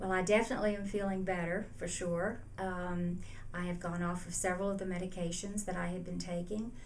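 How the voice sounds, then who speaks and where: Audible room echo carries a woman's medium-pitched voice as she speaks at a fairly quick pace with monotone, flat intonation. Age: 70s. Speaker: patient giving testimonial. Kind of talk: testimony. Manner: hesitant, many fillers.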